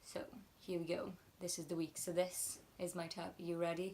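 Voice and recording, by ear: A woman talks at a moderate pace in a fairly low pitch. There is little pitch movement, and her tone is slightly mellow.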